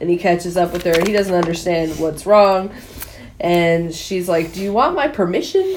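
With audible room echo and noticeable background noise, a woman speaks at a moderate pace and medium pitch. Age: 30s. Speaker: podcast co-host. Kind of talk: casual chat. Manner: laughs often.

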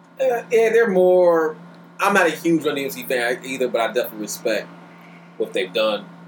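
Over noticeable background noise, a man with a fairly high pitch makes very wide pitch swings. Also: moderate pace. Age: 30s. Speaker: podcast guest, hip hop fan. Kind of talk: casual chat.

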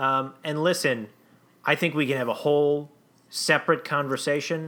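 The speaker has a plain, everyday voice and talks at a fairly quick pace. The recording is very clean, with a silent background. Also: man. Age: 30s. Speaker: comedy podcast co-host. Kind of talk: improvised comedy podcast.

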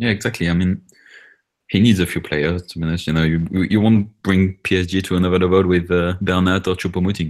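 Fast pace from a man with low pitch and little pitch movement.

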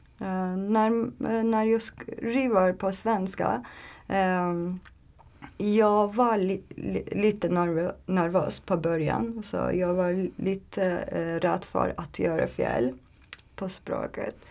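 Her pitch varies in an ordinary way as a woman speaks very slowly. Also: medium pitch for a woman. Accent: Turkish. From Turkey. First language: Turkish (speaking Swedish). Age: 30s. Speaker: language learner, aspiring translator. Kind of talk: interview. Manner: halting, many fillers.

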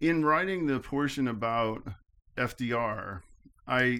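On a very clean recording with a silent background, a man with an American accent uses a plain, everyday voice at medium pitch with ordinary pitch variation. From upstate New York. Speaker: political science professor. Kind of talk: interview.

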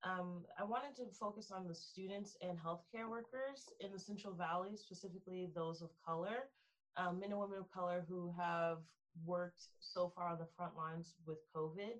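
A plain, everyday voice, ordinary pitch variation, and a moderate tempo. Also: woman, medium pitch for a woman. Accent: American. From Texas, Frisco. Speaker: philosophy student. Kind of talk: interview.

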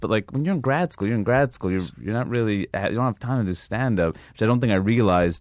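Very fast speech from a man with an American accent and a medium-pitched voice, on a very clean recording with a silent background. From New York. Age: 30s. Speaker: stand-up comedian. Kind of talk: casual chat.

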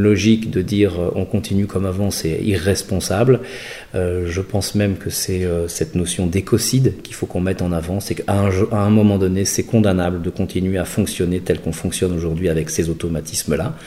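A man speaks at a fairly quick clip with a very deep, low pitch. His intonation stays fairly even over noticeable background noise. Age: 50s. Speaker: designer and entrepreneur. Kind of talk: interview. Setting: artist's studio. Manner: halting.

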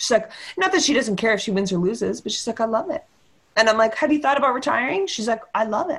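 Speaking in a Canadian accent, a woman goes at a very fast pace. Her pitch is fairly high and her intonation lively. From Victoria, western Canada. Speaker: squash writer. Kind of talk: casual chat.

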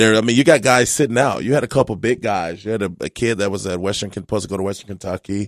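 A man's fairly low voice at a very fast pace, with hardly any pauses, ordinary pitch variation and a dry, close sound with no echo. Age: 30s. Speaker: former pro basketball player. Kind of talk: casual chat.

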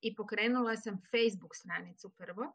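With a normal speaking voice, a woman talks at a moderate pace in a fairly high pitch. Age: 50s. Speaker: book blogger. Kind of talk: interview. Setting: livestream.

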